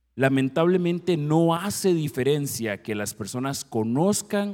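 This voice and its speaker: With very wide pitch swings, a man speaks at a fairly slow pace in a dark, mellow tone. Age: 50s. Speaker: family counselor and guest preacher. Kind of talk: sermon. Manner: formal.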